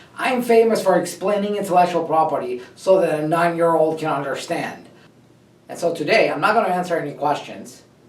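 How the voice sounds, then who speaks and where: Noticeable background noise behind a man's high voice, fairly quick in pace, with ordinary pitch variation. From Russia. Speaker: trademark lawyer, company founder. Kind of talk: personal story talk to camera.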